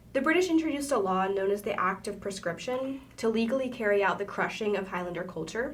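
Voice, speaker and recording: Talking very fast with hardly any pauses, a woman at medium pitch uses lively intonation, with audible room echo and noticeable background noise around her. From Appalachia. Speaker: podcast host. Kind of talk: casual educational presentation. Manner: halting, with filler words.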